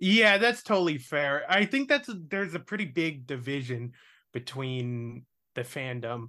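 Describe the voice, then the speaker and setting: A man with a fairly high voice speaks in a bright, sharp tone with lively intonation on a very clean recording with a silent background. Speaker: podcast host. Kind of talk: casual chat. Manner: rambling, self-deprecating, profane.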